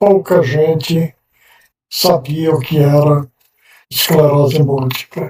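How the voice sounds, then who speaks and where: A man's very slow, somewhat breathy speech, with fairly even intonation and long, frequent pauses. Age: 70s. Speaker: person with multiple sclerosis giving testimony. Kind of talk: testimony.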